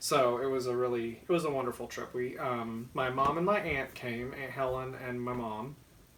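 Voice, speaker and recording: A man with a slight Southern US accent, medium pitch and ordinary pitch variation, moderate pace with hardly any pauses, plus audible room echo and noticeable background noise. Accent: mild Southern US. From US South, Georgia. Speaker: knitting podcast co-host. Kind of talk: casual chat.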